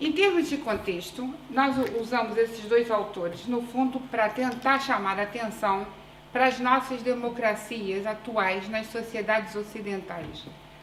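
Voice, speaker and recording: Against noticeable background noise and audible room echo, a woman with a fairly high pitch speaks at a fairly slow pace with ordinary pitch variation. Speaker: urban planning researcher and PhD student. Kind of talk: conference presentation. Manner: deliberately slow; hesitant fillers.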